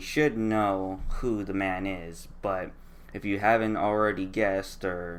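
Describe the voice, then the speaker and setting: Over audible room echo, a man speaks at a very slow pace in a fairly low pitch with monotone, flat intonation. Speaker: artist and drawing tutorial maker. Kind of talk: tutorial with voice-over commentary. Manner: halting, many fillers and restarts.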